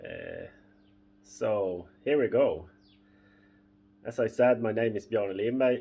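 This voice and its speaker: Very slow in pace, a man with a Swedish accent speaks with long, frequent pauses. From northern Sweden. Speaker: boat owner and fishing vlogger. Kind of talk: casual tutorial. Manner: halting, many fillers.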